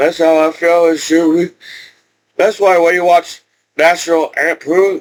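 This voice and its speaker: The speaker moves at a fairly slow pace with long, frequent pauses, very even loudness and a monotone, flat intonation. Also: man, high pitch for a man. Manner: rambling, casual.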